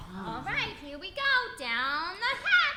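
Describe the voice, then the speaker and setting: Over loud background noise, a woman uses a put-on character voice at an extremely high pitch, speaking at a fairly slow pace. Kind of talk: 80s sitcom acting. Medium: comedy sketch.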